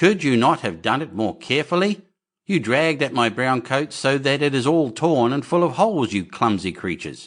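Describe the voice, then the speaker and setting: A man's shrill, put-on character voice at a medium pitch and a moderate pace. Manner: angry, scolding.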